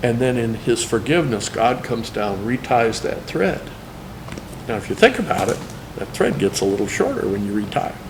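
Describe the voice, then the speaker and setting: Amid noticeable background noise and audible room echo, a man speaks at medium pitch with ordinary pitch variation. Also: fairly quick pace. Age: 60s. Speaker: cartoonist. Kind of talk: testimony.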